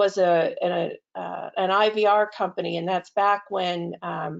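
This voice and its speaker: With a slight Boston accent, a woman speaks in fairly even intonation. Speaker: healthcare technology executive. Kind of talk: webinar presentation. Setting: online webinar.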